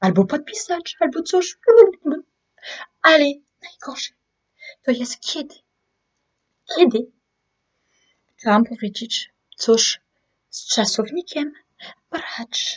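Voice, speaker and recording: Speaking with a strong French accent, a woman moves at a very slow pace with long, frequent pauses. Her pitch swings very widely and her loudness swings a lot. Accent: strong French accent in Polish. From France. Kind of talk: casual talk to camera.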